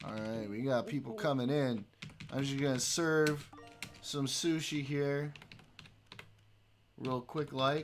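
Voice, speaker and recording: With noticeable background noise behind him, a man speaks at a very slow pace and a fairly high pitch, with ordinary pitch variation and long, frequent pauses. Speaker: streamer. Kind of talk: casual chat. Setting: live stream. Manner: animated.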